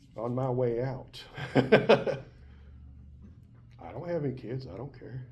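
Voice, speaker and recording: A man with a Southern US accent speaks at a very slow pace, somewhat breathy, with long, frequent pauses. His loudness swings widely, and the room echo is audible. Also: medium pitch for a man, ordinary pitch variation. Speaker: college biology teacher. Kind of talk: lecture. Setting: classroom. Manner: conversational.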